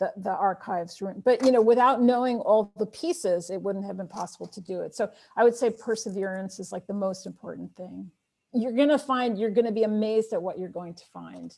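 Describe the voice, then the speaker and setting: Her voice has a dark, mellow tone and a medium pitch, with ordinary pitch variation. The woman talks at a fairly quick pace with big swings in loudness. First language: Armenian. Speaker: author. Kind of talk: Q&A after a talk.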